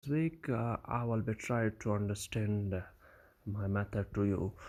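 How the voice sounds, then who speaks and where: Very slowly, a man speaks with a non-native accent. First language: not English. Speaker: online course seller. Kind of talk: tutorial. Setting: recording on a mobile phone. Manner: halting, many fillers.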